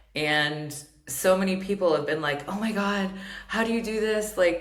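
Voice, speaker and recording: A woman at a fairly slow pace, ordinary pitch variation, with audible room echo. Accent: American. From England, Surrey (American parents). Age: 40s. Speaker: podcast host, therapist and coach. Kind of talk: solo podcast monologue. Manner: casual, filler-heavy with self-corrections.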